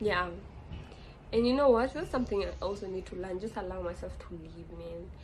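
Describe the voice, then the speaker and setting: A woman talks at a fairly quick pace with big swings in loudness. Audible room echo surrounds her voice. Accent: Kenyan. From Kenya. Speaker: podcast host. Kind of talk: casual monologue podcast.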